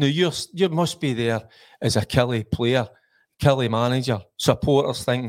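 Someone with a Glasgow accent talks at a moderate pace with ordinary pitch variation. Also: man. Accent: Scottish (Glasgow). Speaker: football pundit, former player. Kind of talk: casual football chat. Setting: studio.

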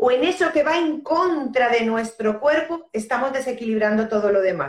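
The speaker has an unremarkable speaking voice. The pace is fairly slow. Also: woman. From Spain. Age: 50s. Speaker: end-of-life companion and death educator. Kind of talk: casual chat. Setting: Instagram live video call.

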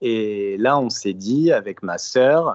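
A man's normal speaking voice at medium pitch, with ordinary pitch variation. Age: 20s. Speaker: history-geography teacher, caller. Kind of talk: testimony on a live call-in show.

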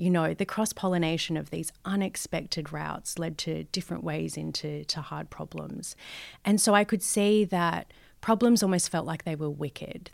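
At a moderate pace, a woman with an Australian accent is heard in a very clean recording with a silent background. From Australia, Western Sydney. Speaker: advertising strategist. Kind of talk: interview. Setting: office building.

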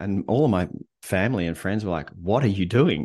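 Ordinary pitch variation marks this voice with an Australian accent. The background is quiet. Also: man. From Australia, Melbourne. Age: 50s. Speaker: leadership coach and author. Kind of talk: casual interview conversation.

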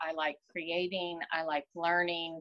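A plain, everyday voice from a woman, fairly low in pitch, fairly slow, with an American accent and a dry, close sound with no echo. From Texas. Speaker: business owner. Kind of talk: interview.

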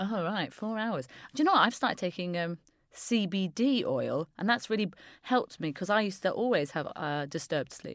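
On a very clean recording with a silent background, a woman uses an ordinary speaking voice at medium pitch, talking at a fairly quick pace with lively intonation. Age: 30s. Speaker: comedian and improviser. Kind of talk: casual chat.

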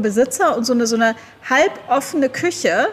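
A woman talking at a fairly quick pace with lively intonation over noticeable background noise. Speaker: travel blogger and author. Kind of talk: casual interview chat. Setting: video call.

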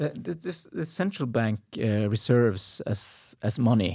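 On a very clean recording with a silent background, a man speaks at a medium pitch with a dark, mellow tone. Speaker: podcast host, economic history professor. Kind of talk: interview.

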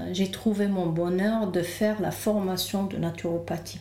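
A woman talks in a calm tone at a very slow pace. Noticeable background noise and audible room echo fill the recording. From Lebanon. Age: 40s. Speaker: naturopath. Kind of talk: interview. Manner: halting.

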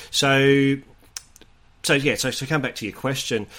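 Fairly quick speech from a man with an Australian accent. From Sydney, Australia. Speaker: rugby league correspondent. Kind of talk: casual chat.

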